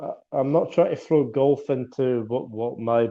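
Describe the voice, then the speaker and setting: An ordinary speaking voice comes from a man with a fairly high pitch. He talks at a fairly slow pace. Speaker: podcast host. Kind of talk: podcast host casual conversation.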